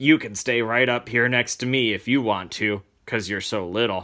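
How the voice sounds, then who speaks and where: A raspy, put-on character voice from a man, medium in pitch, with fairly even intonation, on a very clean recording with a silent background. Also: moderate pace. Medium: read story. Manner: casual, folksy.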